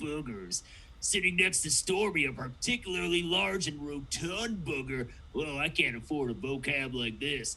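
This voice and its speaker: A man performs a cartoonish character voice at fairly high pitch. He keeps a moderate pace over clear background noise. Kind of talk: cartoon impression. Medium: game stream. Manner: slack, drawling, surfer-stoner.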